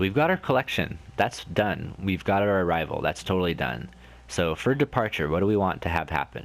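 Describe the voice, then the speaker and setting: Speaking at a fairly quick pace, a man with a very deep, low pitch and vocal fry swings his pitch very widely. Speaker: gaming video creator. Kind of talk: casual let's play commentary. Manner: casual, rambling.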